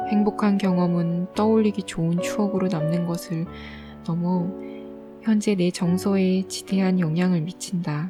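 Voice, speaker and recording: A woman's calm, soothing voice at medium pitch, fairly slow, with ordinary pitch variation and music in the background. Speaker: audiobook reader. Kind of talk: audiobook reading, sleep-aid ASMR.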